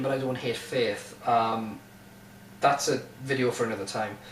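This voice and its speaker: Audible room echo with noticeable background noise. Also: man. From northern England, Durham. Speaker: YouTuber. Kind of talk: casual monologue. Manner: casual, hesitant with fillers.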